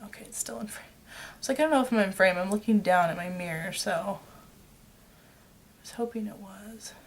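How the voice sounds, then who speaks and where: Talking at a fairly quick pace, a woman mumbles with lively intonation, big swings in loudness, and long, frequent pauses. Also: medium pitch for a woman. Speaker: beauty vlogger. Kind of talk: makeup tutorial. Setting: at home. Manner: mumbling.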